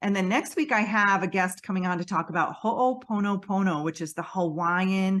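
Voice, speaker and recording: A woman with an American accent speaks at a moderate pace with hardly any pauses. Her pitch is medium with ordinary variation, and the background is quiet. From US Northeast (Western New York). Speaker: podcast host, intuitive empath healer. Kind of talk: casual channel update. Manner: loud, working on toning it down; many fillers and restarts.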